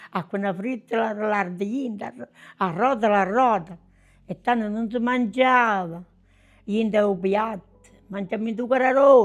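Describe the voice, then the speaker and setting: Speaking at a fairly slow pace with long, frequent pauses, a woman with a southern Italian accent uses a fairly high pitch with ordinary variation while music plays in the background. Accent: southern Italian (Basilicata). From southern Italy, province of Potenza. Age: 90s. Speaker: grandmother recalling wartime childhood. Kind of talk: personal testimony, interview answer.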